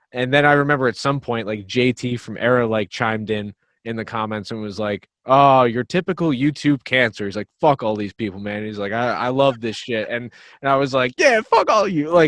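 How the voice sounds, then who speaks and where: In a New Jersey accent, a man speaks fairly quickly at a medium pitch with ordinary pitch variation, the sound dry and close with no echo against a quiet background. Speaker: metal band drummer and vocalist. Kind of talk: casual podcast interview.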